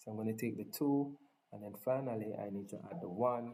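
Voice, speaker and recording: Speaking at a moderate pace with a strong non-native accent, a man has a dark, mellow tone at medium pitch. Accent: thick non-native accent (self-described). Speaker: tech tutorial presenter. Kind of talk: tutorial. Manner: casual, enthusiastic.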